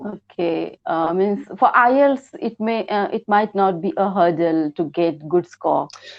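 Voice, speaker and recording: The speaker has an Indian accent and lively intonation. The pace is moderate, with hardly any pauses. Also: woman, medium pitch for a woman. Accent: Indian, clear. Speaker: English learner. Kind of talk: one-to-one lesson. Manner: halting.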